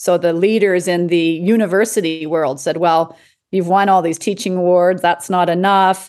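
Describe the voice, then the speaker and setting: A woman with a Western Canadian accent, her pitch fairly low, her loudness very even, her intonation fairly even, at a moderate pace against a quiet background. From Canada, Edmonton, Alberta. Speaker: palliative care doctor and coach. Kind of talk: interview conversation.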